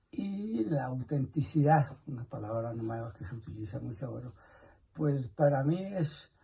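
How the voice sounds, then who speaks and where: Somewhat breathy, this man has a dark, mellow tone at a medium pitch. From Colombia, Nemocón, Cundinamarca. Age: 80s+. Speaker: elderly interviewee. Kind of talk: interview answers.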